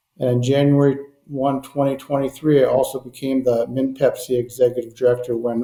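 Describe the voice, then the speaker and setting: Fairly quick speech in a Minnesotan accent. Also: man. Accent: Minnesota. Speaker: propane trade association director. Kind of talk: podcast interview. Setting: call.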